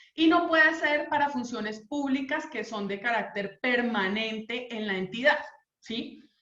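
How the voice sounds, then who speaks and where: A woman's high, bright, sharp voice at a fairly slow pace, with big swings in loudness and audible room echo. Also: ordinary pitch variation. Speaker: labor lawyer. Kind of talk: legal talk / online lecture.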